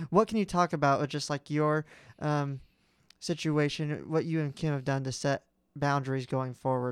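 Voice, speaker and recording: In a very clean recording with a silent background and a dry, close sound with no echo, a man with a plain, everyday voice talks at a moderate pace and fairly high pitch, with fairly even intonation. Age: 20s. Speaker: podcast co-host. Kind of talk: casual chat.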